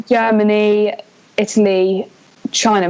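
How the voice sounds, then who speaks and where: A woman with an English accent is heard over noticeable background noise. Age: 20s. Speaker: student going to work at a theme park. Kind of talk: casual chat. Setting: podcast.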